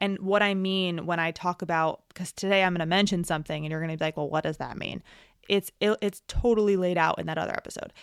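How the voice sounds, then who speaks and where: A woman with an American accent talks at a very fast pace. The recording is very clean with a silent background and a dry, close sound with no echo. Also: fairly low pitch for a woman. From New York. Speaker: podcast host, physical therapist turned operations consultant. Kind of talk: solo podcast talk. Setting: solo home recording. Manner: casual with fillers and stutters.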